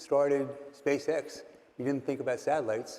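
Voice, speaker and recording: A fairly high-voiced man speaks fairly quickly, with noticeable background noise around him. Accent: American. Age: 70s. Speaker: investor. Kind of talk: interview.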